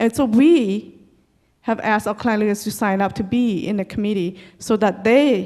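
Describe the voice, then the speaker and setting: A woman with a fairly high pitch and an American accent talks at a fairly slow pace over a quiet background. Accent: Hmong American English. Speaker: community leader. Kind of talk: presentation.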